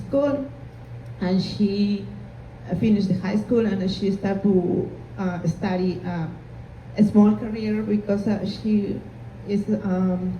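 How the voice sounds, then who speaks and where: A woman with a Spanish accent, audible room echo around her voice. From Peru. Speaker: immigrant panelist. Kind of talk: panel discussion. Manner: halting.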